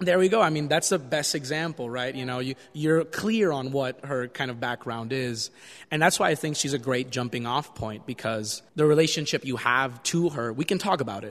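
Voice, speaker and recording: In an unremarkable speaking voice, a man of medium pitch talks at a moderate pace with ordinary pitch variation and hardly any pauses against a quiet background. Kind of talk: casual interview.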